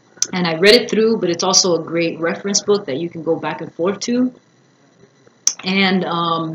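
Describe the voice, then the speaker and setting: A woman talks at a moderate pace in a fairly low voice with ordinary pitch variation. Her loudness swings widely over noticeable background noise. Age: 30s. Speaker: singer and vlogger. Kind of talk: casual vlog. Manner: casual, filler-heavy.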